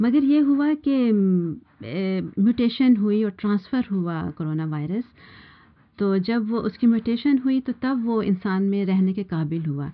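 In a normal speaking voice, a woman talks at a medium pitch with lively intonation. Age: 50s. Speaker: housewife with biochemistry degree. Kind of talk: panel discussion.

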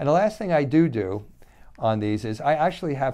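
A man at a moderate pace with lively intonation, against a quiet background. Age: 60s. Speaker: doctor giving health talks. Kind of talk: unscripted educational talk on health. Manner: rambling, conversational, hesitant.

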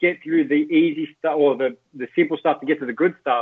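Moving at a fairly quick pace, a man with an Australian accent speaks in a fairly high pitch with ordinary pitch variation. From Australia, Greek heritage. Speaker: sports journalist. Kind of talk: casual interview chat. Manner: animated.

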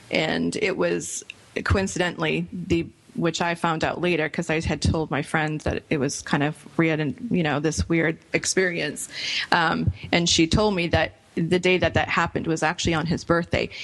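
Her pitch is fairly low, and her intonation stays fairly even. The woman keeps a moderate pace. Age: young. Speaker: radio host and cosmetics entrepreneur. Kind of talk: casual chat.

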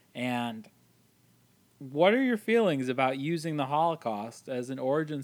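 A man talks at a moderate pace in a fairly high pitch. He has lively intonation and an ordinary speaking voice. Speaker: podcast host. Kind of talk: casual chat.

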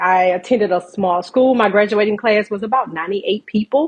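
This woman has a normal speaking voice and an American accent, pitched fairly high. She talks at a moderate pace with ordinary pitch variation. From US South, South Georgia. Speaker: registered nurse and entrepreneur. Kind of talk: interview, personal story.

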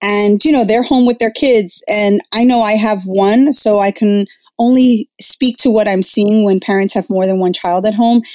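Speaking at a moderate pace with hardly any pauses, a woman with a New Jersey accent keeps her loudness very even, her fairly high pitch showing ordinary pitch variation on a very clean recording with a silent background. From northern New Jersey, Jersey City. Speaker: educator and influencer. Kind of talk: interview.

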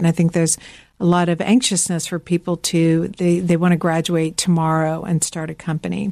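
At a moderate pace, a woman with a fairly low pitch speaks in an American accent. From Georgia, US South. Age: 50s. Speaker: fashion designer and company founder. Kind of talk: interview. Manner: hesitant, frequent fillers.

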